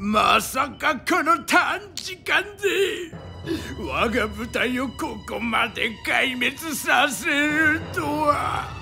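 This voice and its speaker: Against clear music in the background, a put-on character voice with a theatrical tone speaks very slowly at a high pitch. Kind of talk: audio drama performance. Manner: grandiose, theatrical.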